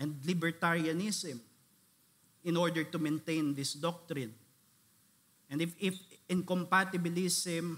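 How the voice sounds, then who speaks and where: A man's high-pitched voice at a fairly slow pace, with fairly even intonation and long, frequent pauses. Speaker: pastor, conference speaker. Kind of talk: theological lecture / sermon-style conference talk.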